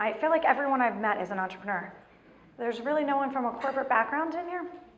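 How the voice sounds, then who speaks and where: A woman's high-pitched, lively-intoned voice with audible room echo. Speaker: motivational speaker. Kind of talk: motivational talk. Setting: stage with audience. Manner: fast.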